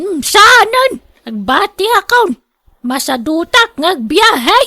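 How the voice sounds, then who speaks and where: A woman's put-on character voice at an extremely high pitch, very wide pitch swings, a very slow pace, and a dry, close sound with no echo. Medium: audio drama.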